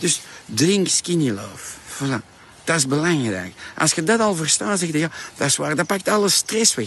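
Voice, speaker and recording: At a moderate pace, a man with an Antwerp accent speaks at a fairly high pitch with very wide pitch swings over noticeable background noise. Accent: Flemish (Antwerp) Dutch. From Flanders, Antwerp. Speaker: diet product entrepreneur and vlogger. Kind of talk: promotional monologue. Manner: animated.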